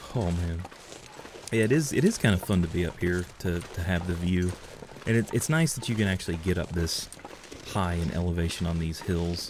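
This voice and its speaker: A man's very deep, low voice with an American accent, fairly even intonation and a moderate pace, broken by long, frequent pauses against noticeable background noise. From US South, Georgia. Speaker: video game streamer. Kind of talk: casual gameplay commentary. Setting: live stream.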